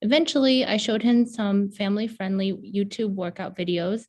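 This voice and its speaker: The somewhat breathy voice shows ordinary pitch variation. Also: woman. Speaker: pediatric health provider. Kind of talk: reading aloud a prepared narrative.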